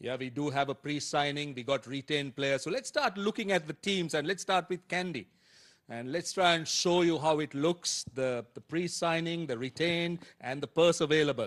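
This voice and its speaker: In a dry, close recording with a quiet background and no echo, a man with an unremarkable speaking voice talks at a moderate pace in a fairly high pitch with ordinary pitch variation. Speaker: cricket broadcast presenter. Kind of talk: live sports broadcast presenter talk.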